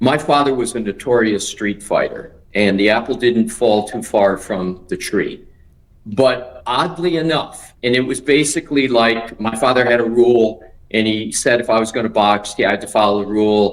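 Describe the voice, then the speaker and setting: This is a man with an unremarkable speaking voice at a medium pitch. He speaks at a moderate pace with ordinary pitch variation. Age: 60s. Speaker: attorney. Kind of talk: interview answer.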